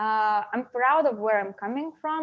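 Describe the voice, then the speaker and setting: A woman's fairly high voice with a Lithuanian accent, ordinary pitch variation and a moderate pace. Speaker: interview guest. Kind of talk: casual interview conversation. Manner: halting, many fillers.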